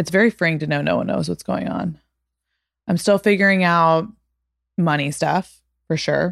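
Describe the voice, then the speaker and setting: A woman speaks at a moderate pace with long, frequent pauses, her pitch fairly low and her intonation fairly even. The sound is dry and close with no echo. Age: 20s. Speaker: podcast host. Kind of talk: casual chat. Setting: home recording. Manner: monotone.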